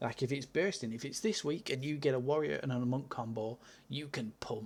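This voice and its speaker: A man talks at a moderate pace with vocal fry. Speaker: gaming video creator. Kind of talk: casual game review monologue.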